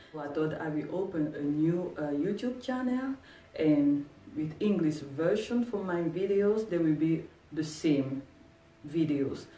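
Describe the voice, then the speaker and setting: With a French accent, a woman speaks at a fairly low pitch and a fairly slow pace with lively intonation over noticeable background noise. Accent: French-speaking. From Cameroon. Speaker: sewing tutorial youtuber. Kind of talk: tutorial. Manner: halting.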